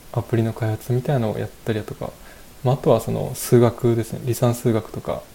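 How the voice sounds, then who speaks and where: Here a man talks at a fairly quick pace in a medium pitch. His intonation stays fairly even. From Japan, Fukushima. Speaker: software engineer. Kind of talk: casual interview. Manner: polite, hesitant with fillers.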